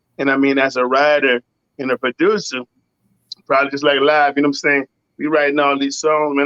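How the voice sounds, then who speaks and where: A man talks at a very fast pace with a Louisiana accent. His pitch is fairly high. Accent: US Southern, Louisiana. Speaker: singer-songwriter and producer. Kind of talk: casual interview. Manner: animated.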